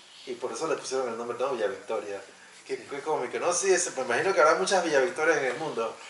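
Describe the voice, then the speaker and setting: There is audible room echo and noticeable background noise, and the speech moves at a fairly quick pace. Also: man. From Panama. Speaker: sociologist. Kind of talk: interview.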